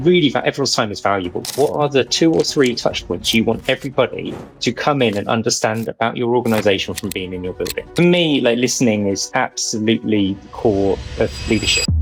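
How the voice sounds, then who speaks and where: A man speaks at a very fast pace with a British accent. His pitch is medium and varies in an ordinary way. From Britain. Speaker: company CEO. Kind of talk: podcast interview. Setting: studio.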